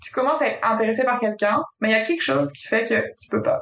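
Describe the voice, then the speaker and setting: This woman has an ordinary speaking voice with a fairly high pitch and ordinary pitch variation. She talks at a fairly quick pace. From France. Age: 20s. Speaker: project manager in construction. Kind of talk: casual interview chat.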